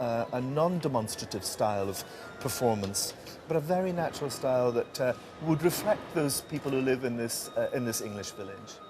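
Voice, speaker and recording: Man with a Scottish accent, medium pitch and lively intonation at a fairly quick pace, music in the background. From Scotland. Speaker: stage director. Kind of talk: interview.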